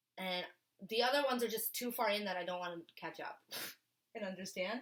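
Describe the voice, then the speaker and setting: A woman talks at a fairly quick pace in an animated tone. Her pitch is medium with ordinary variation. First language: Polish. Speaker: podcast co-host. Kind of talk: casual chat. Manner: fast, animated.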